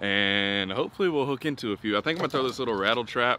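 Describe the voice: Fast, lively delivery with a bright, sharp tone. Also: man, medium pitch for a man.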